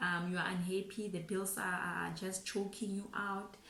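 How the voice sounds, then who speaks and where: Speaking at a moderate pace and medium pitch, a woman is heard with audible room echo. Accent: Botswana. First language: Setswana. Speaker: financial planner YouTuber. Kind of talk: casual talk to camera, finance advice. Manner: code-switching English and Setswana; halting, frequent repetitions.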